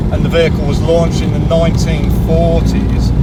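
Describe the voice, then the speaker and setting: A man with a Birmingham accent talks at a very fast pace, with audible room echo and music playing in the background. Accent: Birmingham (Brummie). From Birmingham, England. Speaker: classic car owner, YouTuber. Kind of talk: casual interview chat. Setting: in a car, engine noise.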